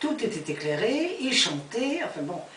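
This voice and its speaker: A woman talks at a fairly slow pace with very wide pitch swings. Background noise is noticeable. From France. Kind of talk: storytelling, personal memories. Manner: hesitant, searching for words.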